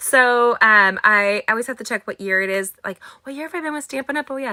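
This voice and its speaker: Loud and lively, a woman with an American accent talks at a fairly quick pace in a bright, sharp tone. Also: dry, close sound with no echo. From California, US. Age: 40s. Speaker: craft instructor. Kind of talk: live craft tutorial and chat. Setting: livestream from home studio in attic. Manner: fast.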